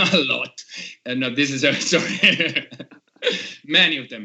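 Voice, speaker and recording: A man speaks with an Italian accent. His pace is very slow. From Italy. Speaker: podcast host, metal musician. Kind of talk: casual video podcast interview. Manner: halting.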